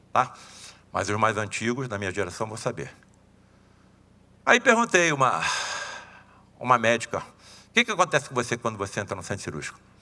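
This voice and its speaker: At a fairly quick pace, a man with a medium pitch speaks in a bright, sharp, animated tone with lively intonation, big swings in loudness, and long, frequent pauses. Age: 70s. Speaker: surgeon and spiritist lecturer. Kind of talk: lecture. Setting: seminar talk with audience. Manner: animated, conversational.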